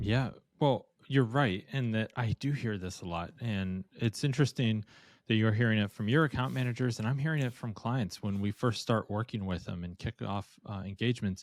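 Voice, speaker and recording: On a very clean recording with a silent background and a dry, close sound with no echo, a man with an unremarkable speaking voice shows ordinary pitch variation. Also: medium pitch for a man, moderate pace. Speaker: podcast co-host, conversion optimization agency. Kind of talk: casual podcast conversation.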